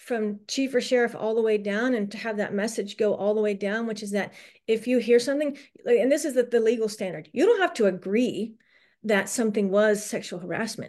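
A woman talks at a fairly quick pace with ordinary pitch variation. Her pitch sits fairly high, in a plain, everyday voice. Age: 40s. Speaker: former police officer turned attorney. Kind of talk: interview.

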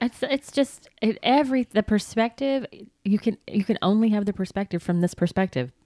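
In a Southern US accent, a woman speaks at a moderate pace with a fairly high pitch, a dark, mellow tone and lively intonation. Her loudness stays very even, and the sound is dry and close with no echo. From US South. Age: 50s. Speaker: podcast host. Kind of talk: casual chat.

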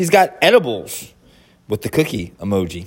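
At a fairly slow pace, a man talks at a fairly high pitch with very wide pitch swings. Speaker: podcaster and artist. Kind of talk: angry rant. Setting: outdoors at a work site. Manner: fired-up, profane, repetitive and indignant; emphatic, ending with catchphrases.

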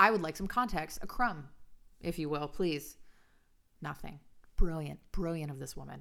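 A woman's fairly low voice, bright and sharp in tone, with lively intonation, big swings in loudness, long and frequent pauses, and a moderate pace. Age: 30s. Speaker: podcast co-host, influencer and nail technician. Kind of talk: casual chat.

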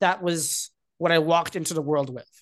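With an American accent, a man speaks at a high pitch with ordinary pitch variation against a quiet background. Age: 20s. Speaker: tech company executive. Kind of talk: casual interview. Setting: remote call.

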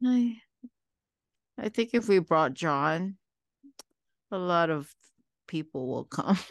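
Against a quiet background, a woman with a fairly low pitch speaks at a very slow pace with long, frequent pauses. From Philippines. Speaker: podcast host. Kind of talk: casual chat, ghost story reading. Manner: laughing, giggly, hesitant.

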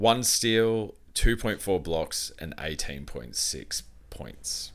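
A man talks very slowly, and the recording is very clean with a silent background. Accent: Australian. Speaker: podcast co-host. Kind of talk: casual chat. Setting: home recording room.

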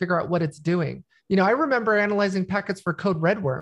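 A woman talks at a fairly quick pace in a medium pitch with ordinary pitch variation, in a normal speaking voice. The background is quiet. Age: 40s. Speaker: cybersecurity expert. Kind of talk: casual chat.

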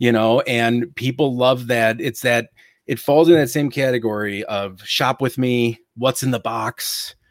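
In a very clean recording with a silent background, a man with an American accent and an ordinary speaking voice talks at a medium pitch and a fairly slow pace with fairly even intonation. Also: dry, close sound with no echo. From Ohio, US Midwest. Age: 30s. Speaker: retail reseller and YouTuber. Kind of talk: casual interview.

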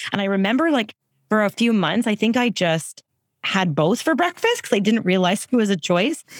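A woman's ordinary speaking voice, fairly high in pitch, with lively intonation and a fairly quick pace, in a dry, close sound with no echo. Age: 40s. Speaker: founder and CEO of an anti-chafing apparel brand. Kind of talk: casual chat.

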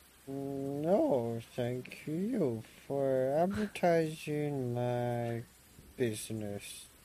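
Putting on a character voice, a man speaks at a very slow pace with medium pitch and ordinary pitch variation. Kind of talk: comic old-man voice. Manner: rambling, befuddled, generous.

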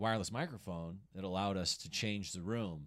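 With an American accent, a man talks in an ordinary speaking voice at a fairly low pitch, a moderate pace and ordinary pitch variation. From Colorado. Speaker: stand-up comedian. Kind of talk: casual chat.

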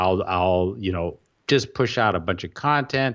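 Moderate pace and ordinary pitch variation from a man. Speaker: WordPress blogger and podcaster. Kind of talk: casual interview conversation. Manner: articulate, chooses words carefully.

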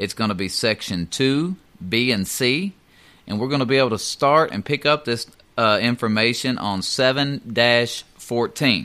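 Bright and sharp in tone, a man with a Southern US accent talks at a moderate pace with ordinary pitch variation. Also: medium pitch for a man. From US South. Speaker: union steward and mail carrier. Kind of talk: educational talk on union contract. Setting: studio.

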